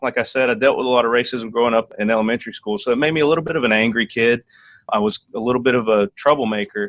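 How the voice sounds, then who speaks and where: In a dry, close recording with no echo, a man with a strong Tennessee accent talks very fast, his pitch varying in an ordinary way. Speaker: Air Force officer. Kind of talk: interview.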